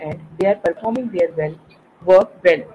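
Noticeable background noise sits behind a woman speaking at a medium pitch. She keeps a moderate pace with lively intonation. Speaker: event moderator. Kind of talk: speaker introduction. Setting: video call. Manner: halting.

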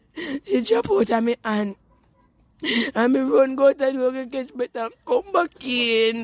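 A woman speaks in a Jamaican accent with a high pitch and lively intonation. Her pace is fairly slow, and the sound is dry and close with no echo. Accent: Jamaican Patois. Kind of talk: news interview answer.

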